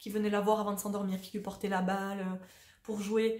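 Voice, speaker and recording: A woman talks at a fairly quick pace in a somewhat breathy voice. Audible room echo is present. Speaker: spiritual coach and vlogger. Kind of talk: casual monologue to camera. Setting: at home on a sofa. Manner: fast; spontaneous, hesitant.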